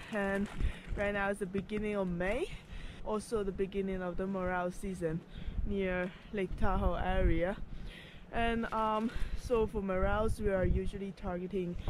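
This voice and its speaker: A woman speaks at a moderate pace in a monotone, flat intonation, with long, frequent pauses. The sound is dry with no echo, though background noise is noticeable. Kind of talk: casual vlog chat. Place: forest. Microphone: phone near.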